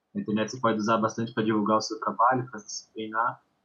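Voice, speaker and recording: A man's voice at medium pitch. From São Paulo, Brazil. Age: 20s. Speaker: football performance analyst. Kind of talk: casual chat.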